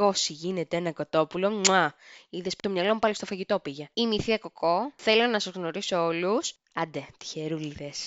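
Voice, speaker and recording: At a moderate pace, a woman talks in a normal speaking voice at medium pitch with ordinary pitch variation. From Greece. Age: 30s. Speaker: podcast host. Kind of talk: casual monologue.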